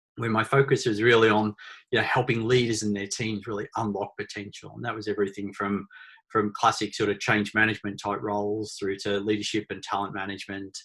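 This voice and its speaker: Here a man with an Australian accent speaks quite quickly at a fairly low pitch. His intonation is monotone and flat, and the background is quiet. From Australia, small country town. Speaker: author and leadership consultant. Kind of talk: webinar presentation. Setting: online webinar. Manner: hesitant, many fillers and repeated words.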